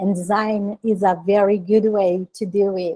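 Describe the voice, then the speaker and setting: A woman speaks with a Portuguese accent in a dark, mellow tone at a medium pitch, her intonation monotone and flat. The sound is dry and close, with no echo. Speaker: designer and author. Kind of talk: conference talk. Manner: halting.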